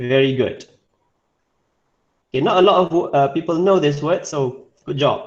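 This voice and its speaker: At a fairly slow pace, a man speaks in a Malaysian accent at a fairly high pitch with ordinary pitch variation. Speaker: English teacher. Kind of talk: online class lesson.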